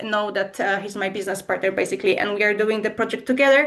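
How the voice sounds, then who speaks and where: This woman has a Polish accent. Her pitch is fairly high. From Poland. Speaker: language school co-founder. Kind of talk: webinar presentation. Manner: hesitant, many fillers.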